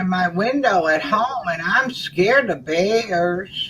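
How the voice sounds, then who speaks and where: A woman speaks in a medium pitch with a Southern US accent. Her intonation is lively. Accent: southern drawl. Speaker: livestream host. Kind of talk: casual chat.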